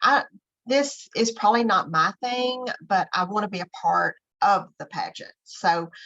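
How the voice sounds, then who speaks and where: The sound is dry and close, with no echo. A woman speaks at a fairly slow pace. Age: 60s. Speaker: makeup artist and online business owner. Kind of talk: interview conversation. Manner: hesitant, many fillers.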